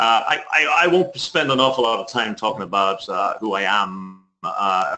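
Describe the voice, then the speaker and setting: At a moderate pace, a man talks in an Irish accent. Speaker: author and leadership consultant. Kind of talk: webinar presentation. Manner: enthusiastic.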